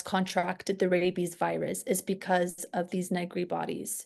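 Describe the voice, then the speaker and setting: Against a quiet background, a woman with a non-native accent speaks at a moderate pace. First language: not English. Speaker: student. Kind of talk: casual chat. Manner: halting.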